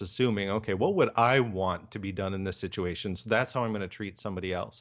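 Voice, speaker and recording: Talking at a very fast pace, a man with an American accent uses ordinary pitch variation. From Michigan, small town. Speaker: business coach and consultant. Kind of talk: interview. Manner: hesitant, many fillers.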